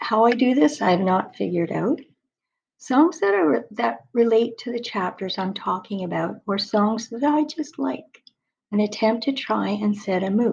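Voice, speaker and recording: A woman's fairly high voice with lively intonation, some vocal fry, and a moderate pace. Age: 60s. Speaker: spiritual author telling her story. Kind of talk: personal video monologue.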